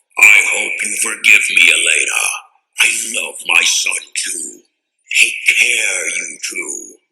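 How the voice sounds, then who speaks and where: In a put-on character voice, a man growls with a gravelly sound at an extremely high pitch. He goes at a fairly slow pace, with long, frequent pauses. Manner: grim, regretful.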